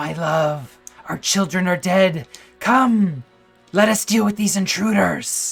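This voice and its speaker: A shrill, put-on character voice speaks at a middle pitch and a fairly slow pace. Faint music plays in the background. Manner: frantic, grieving and vengeful.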